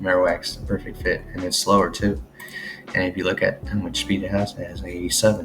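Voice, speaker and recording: Music plays in the background. A man speaks quietly. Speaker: gaming video creator. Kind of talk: casual commentary on teambuilding. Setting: home recording, late at night. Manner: quiet, low voice.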